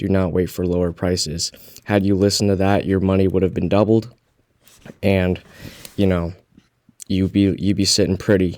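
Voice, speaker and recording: A quiet man speaks at a moderate pace in a very deep, low voice, with flat, monotone intonation and long, frequent pauses. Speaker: crypto YouTuber. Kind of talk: casual vlog commentary. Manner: quiet, keeping voice down.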